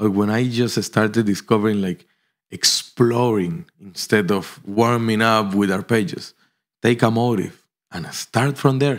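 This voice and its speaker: On a very clean recording with a silent background, a man with a Spanish accent talks fairly slowly at a medium pitch with ordinary pitch variation. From Colombia. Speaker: pianist. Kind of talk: interview.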